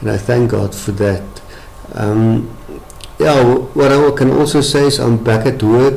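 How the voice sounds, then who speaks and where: Long, frequent pauses break up the speech of a man with a South African accent, whose medium-pitched voice shows ordinary pitch variation amid audible room echo and noticeable background noise. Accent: Afrikaans-accented English. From South Africa, Afrikaans town in the Free State. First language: Afrikaans. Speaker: medical professional, brain injury survivor. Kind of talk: testimony. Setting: webcam presentation. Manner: halting.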